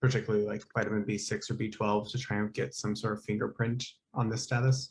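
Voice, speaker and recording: A man with a fairly low pitch and a somewhat breathy voice speaks at a very fast pace. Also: fairly even intonation. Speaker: graduate student. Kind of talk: seminar question.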